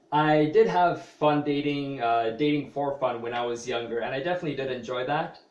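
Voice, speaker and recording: A man with a fairly high voice talks at a fairly quick pace with ordinary pitch variation, and there's audible room echo and noticeable background noise. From Canada (Toronto area). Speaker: vlogger, small business owner. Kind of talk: personal vlog monologue. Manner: hesitant, many fillers.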